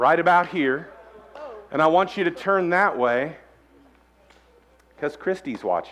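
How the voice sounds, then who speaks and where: Over music in the background, a man with a high pitch talks at a fairly slow pace, using ordinary pitch variation, big swings in loudness, and long, frequent pauses. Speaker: pastor. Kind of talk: sermon. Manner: animated.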